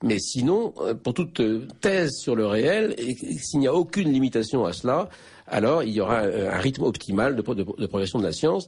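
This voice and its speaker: A man speaks in very wide pitch swings over a quiet background. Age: 60s. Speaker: philosophy professor, author. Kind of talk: radio interview. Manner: halting, many repetitions and hesitations.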